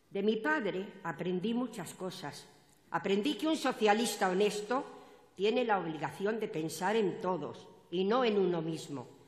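A woman speaks at a fairly slow pace. The background is quiet, though the room echo is audible. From Spain. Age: 80s+. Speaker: party activist, opening speaker at political rally; speaker. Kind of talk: political rally speech. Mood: emotional, earnest. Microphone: podium.

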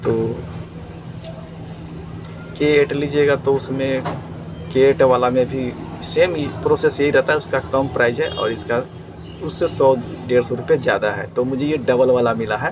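Faint background noise sits behind a man speaking at a moderate pace and medium pitch with fairly even intonation.

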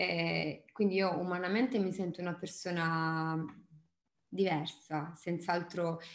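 A woman's fairly low-pitched voice with audible room echo. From Apulia, Italy (Bisceglie); Apulia, Italy. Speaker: singer-songwriter; interviewee. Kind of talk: interview. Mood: relaxed, thoughtful. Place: home room. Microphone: webcam.

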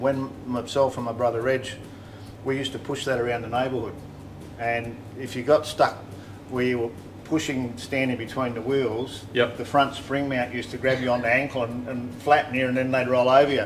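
The delivery is monotone and flat at a fairly quick pace, with light background noise. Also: man. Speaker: host telling his life story. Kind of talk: casual reminiscing conversation. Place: home room. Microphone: studio mic.

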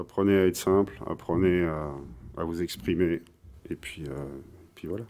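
With a very deep, low pitch and a dark, mellow tone, a man talks at a fairly slow pace, showing ordinary pitch variation and big swings in loudness. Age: 40s. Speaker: blues guitarist; guest. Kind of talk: casual interview. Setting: music bar. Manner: halting. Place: bar.

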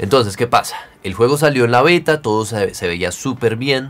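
With an unremarkable speaking voice, a man speaks at a moderate pace and medium pitch with lively intonation. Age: 30s. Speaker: gaming youtuber. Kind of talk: video tutorial. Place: home room.

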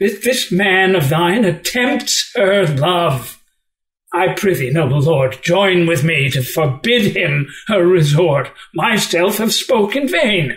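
With lively intonation, the speaker talks at a fairly slow pace. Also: man, high pitch for a man. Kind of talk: unrehearsed Shakespeare reading.

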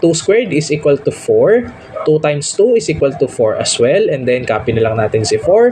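A man speaks over noticeable background noise. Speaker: math tutor; undergraduate student. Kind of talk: tutorial.

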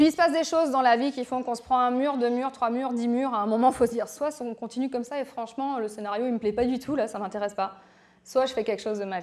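The delivery has an animated tone and moves at a very fast pace. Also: woman, high pitch for a woman, ordinary pitch variation. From France, Berry; France. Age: 40s. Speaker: coach and entrepreneur; speaker. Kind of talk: public talk to audience. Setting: stage with audience. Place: hall. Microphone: handheld.

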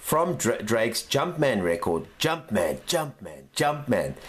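A man speaks in an upbeat tone. His pace is fairly slow. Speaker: news show host. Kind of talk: casual news commentary. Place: home room. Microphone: webcam.

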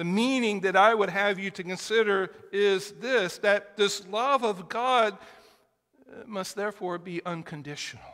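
Speaking at a fairly slow pace with ordinary pitch variation, a man has a bright, sharp tone over a quiet background. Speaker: preacher. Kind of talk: sermon. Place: church.

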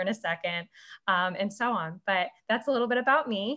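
With an American accent, a woman talks at a fairly quick pace using ordinary pitch variation. The background is quiet. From Illinois (Ottawa); Illinois. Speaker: community organizer; conference presenter. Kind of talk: presentation with slides. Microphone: webcam.

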